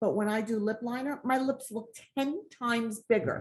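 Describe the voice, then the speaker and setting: A woman speaks with a fairly high pitch and ordinary pitch variation. Her delivery is somewhat breathy and fairly slow. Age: 60s. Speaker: makeup brand founder. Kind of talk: casual chat. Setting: video call.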